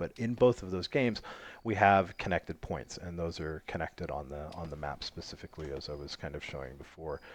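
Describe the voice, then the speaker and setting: Very deep and low in pitch, a man talks with a North American accent. His pace is fairly quick, and his pitch variation is ordinary. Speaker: game mod developer and streamer. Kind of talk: live game stream commentary. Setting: live stream while playing online. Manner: casual, filler-heavy with many ums and restarts.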